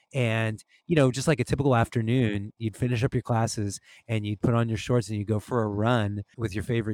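A man with a normal speaking voice, medium in pitch and fairly even in intonation, in a very clean recording with a silent background. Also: dry, close sound with no echo. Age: 40s. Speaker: musician and podcaster. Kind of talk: casual chat.

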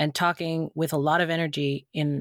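On a very clean recording with a silent background, a woman speaks with monotone, flat intonation. The sound is dry and close, with no echo. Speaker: podcast co-host and performer. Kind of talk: casual chat. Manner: high energy.

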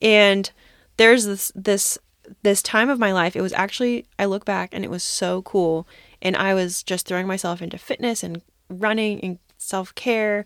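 Recorded very cleanly against a silent background with a dry, close sound and no echo, a woman with a plain, everyday voice speaks at a moderate pace and medium pitch with fairly even intonation. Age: 20s. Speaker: podcast co-host. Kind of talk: casual chat. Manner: extroverted, talkative.

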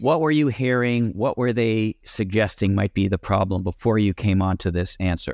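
A man with an ordinary speaking voice talks at a moderate pace with hardly any pauses, his pitch fairly low with ordinary variation and his loudness very even, in a dry, close recording with no echo and a quiet background. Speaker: podcast host. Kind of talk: interview.

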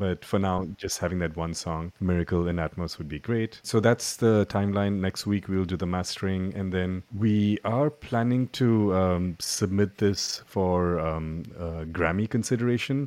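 The man has a very deep, low pitch with ordinary variation and speaks at a fairly slow pace with hardly any pauses, over a quiet background. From India. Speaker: music producer and educator. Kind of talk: casual chat.

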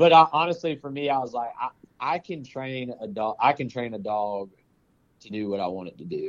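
A man of medium pitch speaks with lively intonation, keeping a moderate pace. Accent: Southern US. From Georgia, US South (Powder Springs near Atlanta). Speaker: forester and bird hunter. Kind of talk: casual chat.

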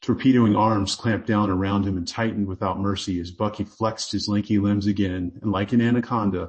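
Delivered in a natural reading voice, the speech has fairly even intonation.

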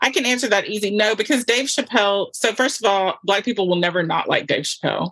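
A woman with an American accent races along at a very fast pace with hardly any pauses, very even loudness, and ordinary pitch variation. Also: fairly high pitch for a woman. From US South. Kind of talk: casual chat.

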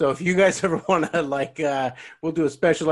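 A man at a fairly high pitch and moderate pace, with fairly even intonation against a quiet background. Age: 40s. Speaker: podcast host. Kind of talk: casual chat. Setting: video call. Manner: halting.

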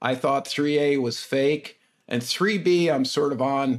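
Speaking fairly slowly, a man uses an unremarkable speaking voice at medium pitch with ordinary pitch variation. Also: very clean recording, silent background. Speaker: podcast host. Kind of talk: casual interview.

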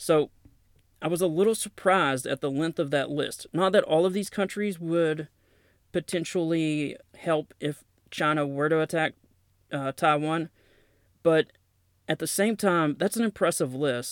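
Pausing long and often, a man with a Southern accent talks at a fairly slow pace. His pitch is fairly high, and the sound is dry and close with no echo. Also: ordinary pitch variation, very clean recording, silent background. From US South, Knoxville, Tennessee. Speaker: podcast host, military veteran and author. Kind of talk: solo podcast monologue with news reading.

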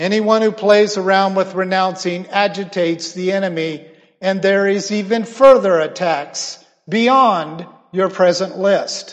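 Speaking at a fairly slow pace, a man uses fairly even intonation in a high voice. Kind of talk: fervent prayer, spoken as a pastor leading a prayer; sermon-style teaching. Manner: earnest, solemn, and impassioned, with a slow, emphatic prayer cadence.

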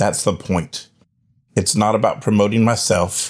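In a very clean recording with a silent background, a man with a plain, everyday voice speaks at a moderate pace, his fairly low pitch held in fairly even intonation. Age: 50s. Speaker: religious ministry leader and podcast host. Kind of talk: podcast monologue.

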